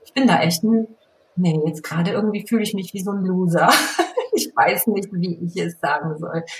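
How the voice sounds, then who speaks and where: A woman's medium-pitched, unremarkable speaking voice, with ordinary pitch variation, a moderate pace and big swings in loudness. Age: 40s. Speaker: fashion blogger. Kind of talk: casual chat.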